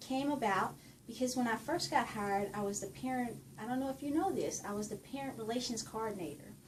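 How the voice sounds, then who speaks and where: Very fast talk in a Southern US accent with lively intonation. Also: woman. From Louisiana, Ruston. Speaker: university administrator. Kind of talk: interview.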